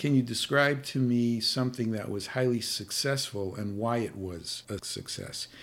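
A man with an American accent, a normal speaking voice, medium pitch and ordinary pitch variation, at a moderate pace with hardly any pauses. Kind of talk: interview conversation.

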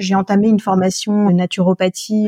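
A woman speaks at a moderate pace and medium pitch with a monotone, flat intonation, a somewhat breathy quality and a dark, mellow tone. The sound is dry and close, with no echo. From France, Alsace. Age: 40s. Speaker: naturopath and nutritionist. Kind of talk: interview.

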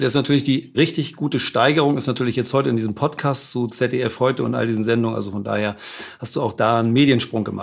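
Talking at a very fast pace, a man with vocal fry and a medium pitch shows ordinary pitch variation in a very clean recording with a silent background. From Hamburg, northern Germany. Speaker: podcast host and publisher. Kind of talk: interview. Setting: on Mallorca.

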